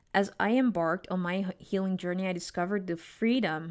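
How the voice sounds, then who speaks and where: Against a quiet background, a woman in an ordinary speaking voice talks at a moderate pace and medium pitch with ordinary pitch variation. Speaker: psychologist and podcast host. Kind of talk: solo podcast monologue on trauma and entrepreneurship.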